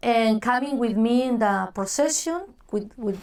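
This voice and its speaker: A woman with a Spanish accent and fairly high pitch on a very clean recording with a silent background. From Mexico, Guadalajara. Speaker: church ministry director. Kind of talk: oral history interview. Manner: halting, searches for English words.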